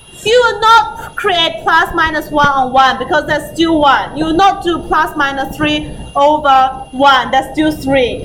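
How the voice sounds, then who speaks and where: A woman speaks in a high voice with lively intonation at a fairly slow pace, with hardly any pauses. Noticeable background noise and audible room echo come through. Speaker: maths teacher. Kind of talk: lecture.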